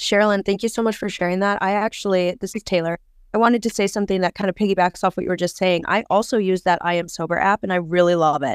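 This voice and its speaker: With an American accent, a woman speaks at a very fast pace with hardly any pauses, her medium pitch carried by fairly even intonation in a very clean recording with a silent background and a dry, close sound with no echo. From US, Wisconsin. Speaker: guest in recovery. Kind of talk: casual panel chat.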